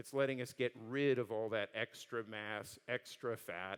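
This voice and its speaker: At a medium pitch, a man uses a normal speaking voice. He keeps fairly even intonation at a moderate pace. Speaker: design and engineering executive. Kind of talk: conference talk and Q&A.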